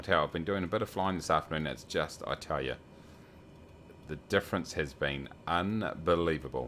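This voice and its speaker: A man speaks at a fairly quick pace in a very deep, low voice with vocal fry and ordinary pitch variation. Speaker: flight sim streamer. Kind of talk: casual livestream commentary. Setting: home at night, others asleep. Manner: soft-spoken.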